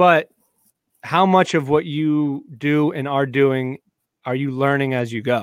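With long, frequent pauses, a man speaks at a fairly slow pace in a fairly high pitch with ordinary variation. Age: 30s. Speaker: golf podcast host. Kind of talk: casual chat. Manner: halting.

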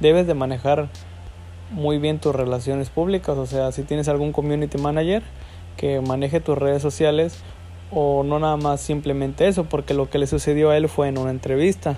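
A man talks at a moderate pace with a fairly high pitch and ordinary pitch variation. His tone is dark and mellow. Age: 20s. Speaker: student podcast host. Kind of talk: casual educational monologue.

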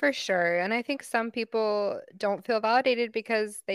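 On a very clean recording with a silent background and a dry, close sound with no echo, a woman in a plain, everyday voice speaks at a moderate pace with ordinary pitch variation. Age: 30s. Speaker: podcast co-host, psychology graduate. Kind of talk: casual chat.

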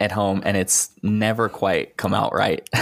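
With an American accent, a man in an unremarkable speaking voice talks at a fairly slow pace and medium pitch. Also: very clean recording, silent background. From Texas. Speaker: writer. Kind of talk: casual chat.

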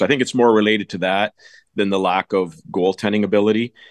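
An unremarkable speaking voice, a man's at fairly low pitch, moves at a fairly quick pace with ordinary pitch variation, dry and close with no echo, over a quiet background. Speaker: goalie coach. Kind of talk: interview.

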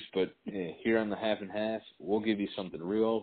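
Speaking at a fairly quick pace, a man with an American accent has a fairly low pitch. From Racine, Wisconsin. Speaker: podcast co-host. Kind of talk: casual chat.

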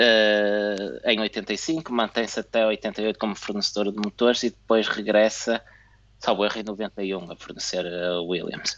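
In a European Portuguese accent, a man with a fairly low pitch talks at a fairly slow pace with fairly even intonation. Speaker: F1 podcast co-host. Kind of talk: casual chat. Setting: video call.

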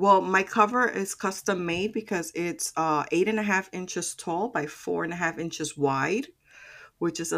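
On a very clean recording with a silent background, a woman speaks at a moderate pace with a fairly low pitch and lively intonation. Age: 50s. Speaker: productivity mentor and planner enthusiast. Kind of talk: interview.

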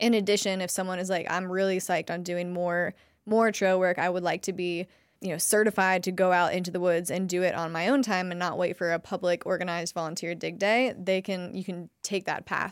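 A woman with an American accent and an unremarkable speaking voice talks at a fairly quick pace, with a medium pitch and fairly even intonation. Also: very clean recording, silent background. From Ohio. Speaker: nonprofit executive director, former educator. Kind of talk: podcast interview. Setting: studio.

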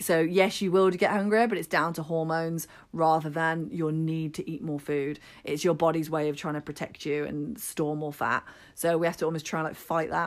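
In an English accent, a woman speaks at a moderate pace with a fairly low voice on a very clean recording with a silent background. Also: ordinary pitch variation. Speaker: podcast co-host, health and fitness coach. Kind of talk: casual chat with health advice.

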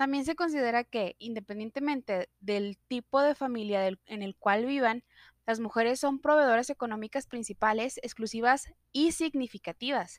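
In a dry, close recording with no echo, a woman talks at a moderate pace in a high voice with ordinary pitch variation. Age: 30s. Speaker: student. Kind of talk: sales pitch. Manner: formal.

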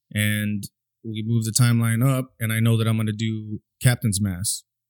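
A man talks with monotone, flat intonation and an American accent. The sound is dry and close, with no echo. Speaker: podcast host. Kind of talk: casual podcast conversation about mental health.

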